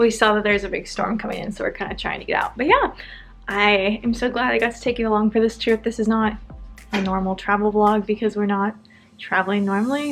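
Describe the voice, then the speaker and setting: Over music in the background, a woman with an American accent speaks at a fairly quick pace in a medium pitch with lively intonation. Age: 20s. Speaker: lifestyle vlogger. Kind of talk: casual vlog narration. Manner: animated.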